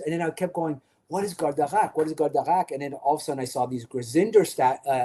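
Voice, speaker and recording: With a Quebec accent, a man speaks in a dark, mellow tone at a fairly high pitch, with ordinary pitch variation. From Quebec, Canada. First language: French. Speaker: podcast co-host. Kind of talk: casual chat.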